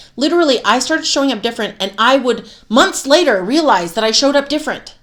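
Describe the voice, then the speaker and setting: Loud and animated, a woman speaks very fast in an American accent, her high voice full of lively intonation. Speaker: self-help coach and podcast host. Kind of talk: motivational monologue with course pitch.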